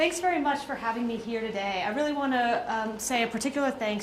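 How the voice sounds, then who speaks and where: A woman talks fairly quickly, and audible room echo follows her voice. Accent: American. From US South, Atlanta, Georgia. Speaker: diplomat. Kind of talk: speech.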